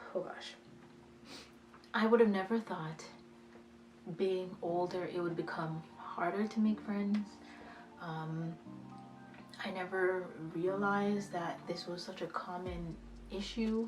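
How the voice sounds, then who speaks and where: Over music in the background, a woman talks at a fairly slow pace and medium pitch, with fairly even intonation and long, frequent pauses. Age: 20s. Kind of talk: casual talk to camera. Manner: hesitant.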